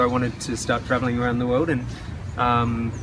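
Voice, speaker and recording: Amid noticeable background noise and audible room echo, a man with an Australian accent talks at a fairly quick pace and a medium pitch. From Western Australia. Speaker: English teacher and traveler. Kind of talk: interview. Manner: halting.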